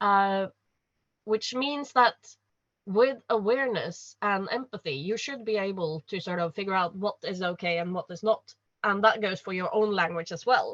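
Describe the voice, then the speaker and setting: In a Norwegian accent, a woman speaks at medium pitch and moderate pace with ordinary pitch variation, the sound dry and close with no echo. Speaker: panelist. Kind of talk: panel discussion. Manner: halting.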